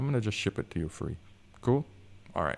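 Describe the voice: This man's voice has vocal fry, a slightly mellow tone and lively intonation.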